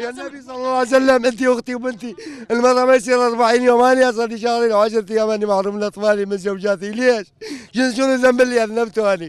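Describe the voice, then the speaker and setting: A man's extremely high pitch with fairly even intonation, at a fairly quick pace, in a dry sound with no echo. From Iraq. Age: 50s. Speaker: displaced camp resident. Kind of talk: emotional complaint interview. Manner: agitated, pleading. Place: open country. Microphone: handheld.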